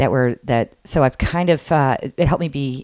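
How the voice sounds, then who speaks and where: A woman's very deep, low voice with an American accent, at a moderate pace and with ordinary pitch variation, dry and close with no echo, on a very clean recording with a silent background. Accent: Chicago accent with some Southern words. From Michigan and Chicago, with time in South Carolina. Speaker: improv teacher and performer. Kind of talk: casual interview chat. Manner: halting, many fillers.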